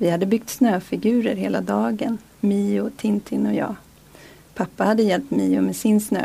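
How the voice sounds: What we hear is a natural reading voice.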